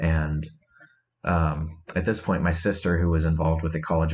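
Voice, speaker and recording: A man with an American accent talks at a fairly quick pace in a very deep, low, somewhat breathy voice. His intonation is monotone and flat. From Iowa, US Midwest. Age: 20s. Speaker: guest sharing recovery story. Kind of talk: testimony. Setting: remote call.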